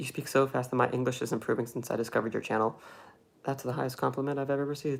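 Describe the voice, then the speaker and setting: An American accent comes through as a man talks at a very fast pace. His pitch is medium. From Cleveland, Ohio, US. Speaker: film YouTuber. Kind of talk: livestream chat reading viewer comments. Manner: animated.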